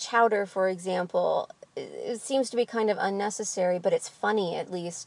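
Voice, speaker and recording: A woman speaks at a moderate pace. She has a slight Midwestern accent. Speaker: literature vlogger. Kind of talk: book discussion monologue. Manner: casual with frequent fillers.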